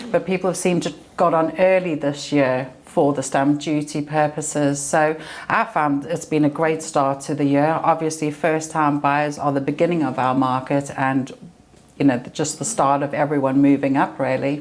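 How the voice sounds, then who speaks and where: The speaker has a South African accent. The pace is moderate and the intonation fairly even. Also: woman, very deep, low pitch for a woman. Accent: South African, noticeable. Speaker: estate agent. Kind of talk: podcast interview.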